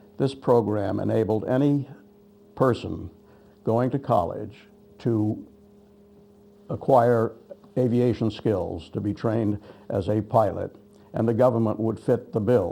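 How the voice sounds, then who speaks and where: Speaking fairly slowly with a New England accent, a man uses a medium pitch and a dark, mellow tone, with ordinary pitch variation and long, frequent pauses. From western Massachusetts, Holyoke. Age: 80s+. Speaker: war veteran. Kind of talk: oral history testimony. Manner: halting.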